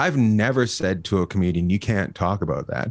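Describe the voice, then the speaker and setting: A voice with a slight Canadian accent swings very widely in pitch at a moderate pace. The recording is very clean, with a silent background. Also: man. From Canada, near Alaska. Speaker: stand-up comedian. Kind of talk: casual interview chat.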